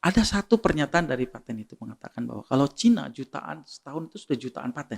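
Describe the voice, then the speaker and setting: This man talks at a very fast pace, with big swings in loudness. The sound is dry and close, with no echo. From Bugis, South Sulawesi, Indonesia. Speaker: inventor. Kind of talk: podcast interview.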